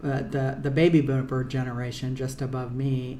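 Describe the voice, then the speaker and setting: The woman's pitch is very deep and low, and she speaks at a moderate pace. Audible room echo can be heard. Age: 60s. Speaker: lawyer. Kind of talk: casual monologue. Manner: halting, many fillers.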